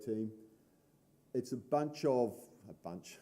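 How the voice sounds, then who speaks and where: At a very slow pace, a man of medium pitch speaks in a dark, mellow tone with ordinary pitch variation. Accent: New Zealand. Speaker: conference speaker, board vice president of open source association. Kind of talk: conference talk.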